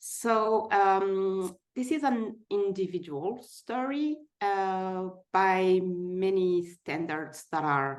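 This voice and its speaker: Speaking with a French accent, a woman has a medium pitch and lively intonation. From France. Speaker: person living with type 1 diabetes sharing her story. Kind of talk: personal testimony in a webinar.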